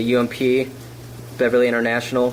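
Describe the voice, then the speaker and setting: Noticeable background noise accompanies a man who talks at a moderate pace. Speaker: fitness vlogger. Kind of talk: casual vlog talk. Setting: kitchen, then gym.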